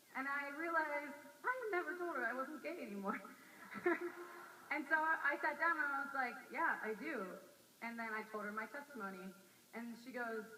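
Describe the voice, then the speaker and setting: Delivered at a fairly quick pace with lively intonation, the speech has long, frequent pauses over noticeable background noise. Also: woman. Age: 20s. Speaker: campus missionary. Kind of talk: personal testimony talk.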